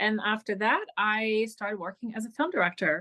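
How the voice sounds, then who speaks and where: A woman's fairly high, bright, sharp voice with a Hungarian accent, at a moderate pace with ordinary pitch variation, in a dry, close sound with no echo. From Hungary. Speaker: film director. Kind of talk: interview.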